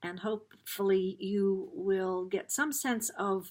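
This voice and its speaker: A woman with a plain, everyday voice speaks with an American accent and ordinary pitch variation on a very clean recording with a silent background. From US Midwest, Dayton, Ohio. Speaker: spiritual card reader. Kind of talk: card reading talk.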